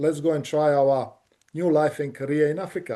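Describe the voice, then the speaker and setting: Speaking with a Bosnian accent, a man has a fairly high pitch and a dark, mellow tone. His intonation stays monotone and flat against a quiet background. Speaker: engineering company director. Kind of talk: interview.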